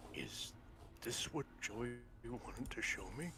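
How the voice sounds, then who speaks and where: Over loud background noise, a man uses a put-on character voice at a medium pitch and a fairly slow pace. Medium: game stream. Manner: earnest, bewildered.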